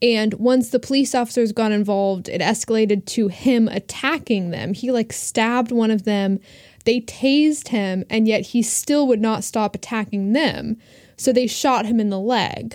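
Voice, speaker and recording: A woman with an American accent and an ordinary speaking voice talks at a fairly high pitch with fairly even intonation, in a very clean recording with a silent background. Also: moderate pace. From Asheville, North Carolina. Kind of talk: casual chat.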